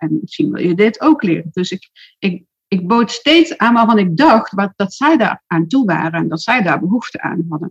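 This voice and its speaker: Somewhat breathy, a woman speaks at a medium pitch and a moderate pace, with very wide pitch swings. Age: 60s. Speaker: social media marketing expert and entrepreneur. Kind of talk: interview. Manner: hesitant, many filler words.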